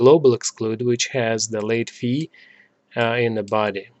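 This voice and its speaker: A speaker with a non-native accent talks in a flat, monotone way. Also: man. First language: not English. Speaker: software developer tutorial maker. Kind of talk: screen-recorded coding tutorial. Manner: many filler words and hesitations.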